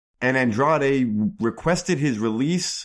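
In a plain, everyday voice, a man speaks at a fairly slow pace with medium pitch and lively intonation on a very clean recording with a silent background. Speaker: podcast co-host and pro wrestler. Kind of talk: wrestling promo-style podcast banter.

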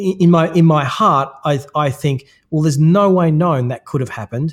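A man with an Australian accent speaks at a moderate pace in a fairly high, somewhat breathy voice with ordinary pitch variation, on a very clean recording with a silent background. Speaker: personal branding consultant. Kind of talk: interview.

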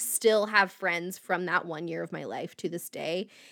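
A woman's bright, sharp voice with an American accent, on a very clean recording over a silent background. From US Midwest (Indiana, near Indianapolis). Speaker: podcast host, mental health advocate. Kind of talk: personal storytelling monologue.

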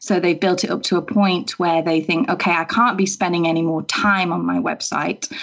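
Amid noticeable background noise, a woman talks at a moderate pace with ordinary pitch variation, very even loudness and hardly any pauses. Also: fairly low pitch for a woman. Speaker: web designer. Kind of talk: casual podcast interview.

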